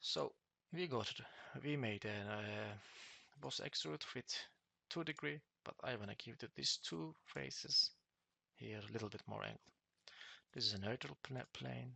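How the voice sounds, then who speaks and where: A man's fairly low voice with vocal fry and very wide pitch swings, moving at a moderate pace with long, frequent pauses. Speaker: CAD tutorial presenter. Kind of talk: tutorial. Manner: halting, with fillers and restarts.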